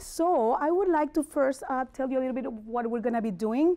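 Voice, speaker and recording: A woman's dark, mellow tone with lively intonation, in a strong Spanish accent. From Mexico City. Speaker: motivational speaker and life coach. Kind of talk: motivational talk.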